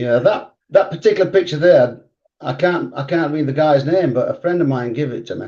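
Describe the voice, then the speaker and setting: With a northern English accent, the speaker talks at a fairly quick pace in a dark, mellow tone. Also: man, fairly high pitch for a man, ordinary pitch variation. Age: 70s. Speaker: retired speedway rider and riding coach. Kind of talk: casual interview.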